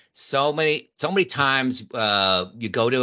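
A man speaks with ordinary pitch variation. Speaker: retired plant manager and reliability consultant. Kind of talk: interview.

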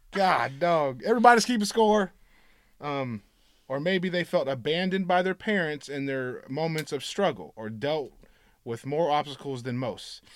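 With a fairly high pitch and lively intonation, a man speaks at a moderate pace in an ordinary speaking voice, in a very clean recording with a silent background. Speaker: podcast co-host. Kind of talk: casual chat. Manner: loud.

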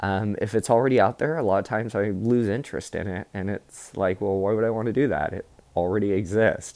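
The speaker moves at a fairly quick pace with hardly any pauses and fairly even intonation. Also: man, fairly low pitch for a man. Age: 30s. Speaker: podcast host. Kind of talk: personal storytelling monologue. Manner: filler-heavy, hesitant.

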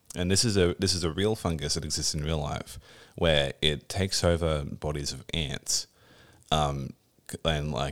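A man with an Australian accent speaks in a very deep, low pitch with vocal fry, at a moderate pace and with fairly even intonation. The recording is very clean, with a silent background. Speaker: podcast host, video game developer. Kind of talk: casual chat.

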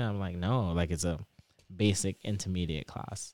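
A man with an American accent talks in a very deep, low pitch. The pitch variation is ordinary. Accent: Trinidadian English, shifting toward American. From Trinidad and Tobago. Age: 20s. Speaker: PhD student. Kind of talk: casual interview chat.

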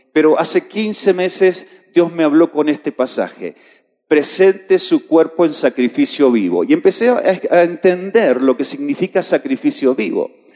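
Pitch swings very widely at a fairly slow pace. The sound is dry and close with no echo, and the tone is dark and mellow. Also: man, high pitch for a man. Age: 50s. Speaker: pastor. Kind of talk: sermon. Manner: halting.

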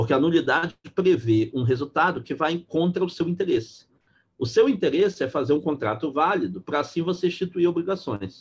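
At a moderate pace, a man talks with a high pitch. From Brazil, Belém, Pará. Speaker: law professor. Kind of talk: lecture-style interview.

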